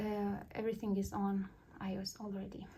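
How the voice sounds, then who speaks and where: A non-native accent at a fairly slow pace. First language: not English. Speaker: cross-stitch YouTuber. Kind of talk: tutorial. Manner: halting.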